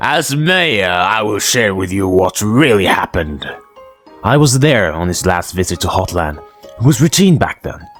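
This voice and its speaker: A man does a cartoonish character voice at a moderate pace, with faint music in the background. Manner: dramatic, storyteller-like.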